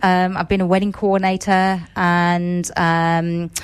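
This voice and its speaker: A woman talks at a fairly slow pace with a slight English accent. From England. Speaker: museum events coordinator. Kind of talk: radio interview.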